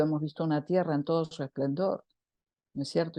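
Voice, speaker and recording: A woman's very deep, low voice with a dark, mellow tone over a quiet background. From Argentina. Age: 60s. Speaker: social activist and women's circle facilitator. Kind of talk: talk in an online women's circle. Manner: animated.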